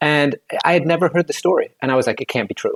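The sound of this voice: Talking at a fast pace, a man with a fairly high voice shows vocal fry, a slightly husky edge and ordinary pitch variation in a dry, close sound with no echo.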